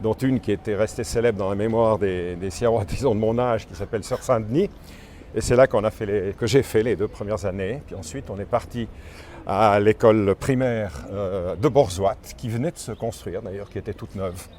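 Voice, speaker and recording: A man speaks at a moderate pace in a fairly low pitch, ordinary in its variation, while noticeable background noise continues. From Switzerland, Valais (Sierre). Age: 70s. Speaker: tour guide. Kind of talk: interview walking tour. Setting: outdoors. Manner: halting.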